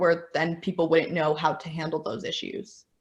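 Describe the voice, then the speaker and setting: A woman talks at a fairly quick pace, her voice somewhat breathy. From New Mexico, Albuquerque. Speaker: beauty content creator. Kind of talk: casual interview. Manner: stutter.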